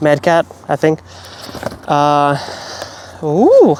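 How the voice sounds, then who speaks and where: A man's voice over noticeable background noise. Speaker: disc golf reviewer. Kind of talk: product review while throwing. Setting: outdoors in a field. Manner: casual, chatty.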